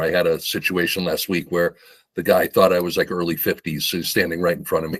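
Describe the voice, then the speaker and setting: Talking at a fairly quick pace, this man has an unremarkable speaking voice. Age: 60s. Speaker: live show guest. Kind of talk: casual chat.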